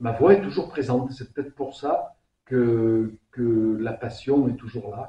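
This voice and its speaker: Speaking at a very slow pace with a Provençal accent, a man with a medium pitch shows ordinary pitch variation and big swings in loudness. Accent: southern French (Provence). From southern France, Vaucluse. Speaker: singer. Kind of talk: interview. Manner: hesitant, many repetitions; animated.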